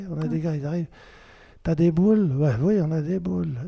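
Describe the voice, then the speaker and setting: Somewhat breathy and dark, mellow in tone, this man's voice sits fairly high in pitch. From French-speaking Switzerland. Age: 70s. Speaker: retiree. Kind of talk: interview.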